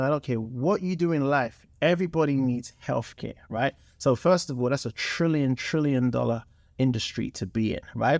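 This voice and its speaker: With a London accent, a man speaks at medium pitch and a moderate pace with ordinary pitch variation, on a very clean recording with a silent background. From London, England. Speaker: entrepreneur, former soccer player. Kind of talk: casual interview chat. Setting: studio.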